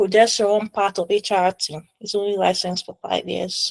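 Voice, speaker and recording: In a normal speaking voice, a woman at a medium pitch speaks with fairly even intonation, the sound dry and close with no echo. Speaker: medical exam tutor. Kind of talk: tutorial. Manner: casual.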